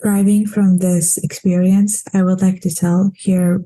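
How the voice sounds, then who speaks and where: A woman speaks at a medium pitch and fairly slow pace, her dark, mellow tone somewhat breathy. Her intonation is monotone and flat. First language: not English. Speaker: international student. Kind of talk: prepared testimony.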